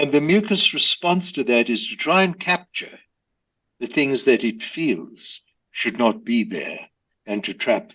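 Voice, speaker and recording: Speaking at a fairly slow pace, a man uses a high pitch with very wide pitch swings. His loudness rises and falls in big swings. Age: 80s+. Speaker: breathing educator, former pharmacist. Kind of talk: interview. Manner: clear, simple explanations.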